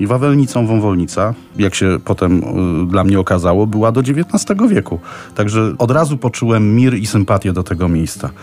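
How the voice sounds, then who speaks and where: This man has an unremarkable speaking voice, fairly low in pitch, with very even loudness throughout. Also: ordinary pitch variation, moderate pace. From Poland, Kraków. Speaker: tour guide. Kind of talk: informal travel recommendations for radio.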